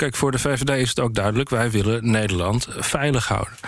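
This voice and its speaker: Noticeable background noise runs behind a man's voice. He speaks at a fairly quick pace with ordinary pitch variation. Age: 40s. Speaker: member of parliament, foreign affairs spokesperson. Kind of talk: interview.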